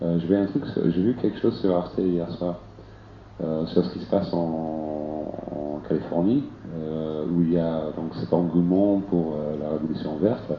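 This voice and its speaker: With an English accent, the man speaks at a very slow pace in a very deep, low voice with ordinary pitch variation. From England. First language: English (speaking French). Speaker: participant living in a tipi. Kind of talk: public debate discussion.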